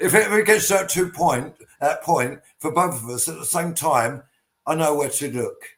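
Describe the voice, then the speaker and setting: Speaking with an English accent, a man uses a fairly high pitch and ordinary pitch variation. His loudness swings a lot, and his pace is moderate. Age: 60s. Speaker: post-punk band frontman. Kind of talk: casual chat. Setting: video call.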